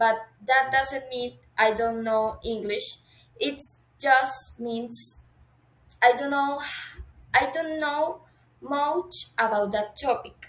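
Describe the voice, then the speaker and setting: The speaker, with a Colombian accent, goes at a very slow pace with long, frequent pauses. Pitch variation is ordinary. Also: woman, high pitch for a woman. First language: Spanish. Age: 20s. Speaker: university language student. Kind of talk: class assignment video monologue. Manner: halting, with self-corrections.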